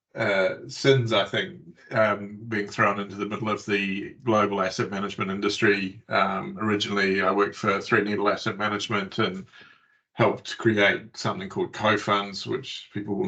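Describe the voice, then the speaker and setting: A man's fairly low voice with a bright, sharp tone, a New Zealand accent and fairly even intonation. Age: 50s. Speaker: tech company CEO. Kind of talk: interview. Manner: hesitant, many fillers.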